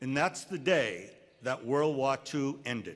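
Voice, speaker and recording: Man with a New England accent at a fairly slow pace, quiet background. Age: 60s. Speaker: commencement speaker. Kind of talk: commencement speech.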